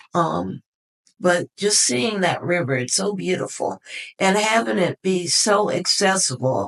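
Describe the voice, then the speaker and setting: In a dry, close sound with no echo, a woman with an ordinary speaking voice talks at a fairly slow pace, her fairly low pitch shaped by lively intonation. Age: 60s. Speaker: retired forester and youth mentor. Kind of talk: interview.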